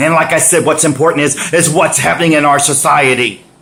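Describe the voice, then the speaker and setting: Noticeable background noise sits under this man's voice. He speaks with an American accent in an animated tone at a fairly high pitch. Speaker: vlogger. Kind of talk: rant. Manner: loud.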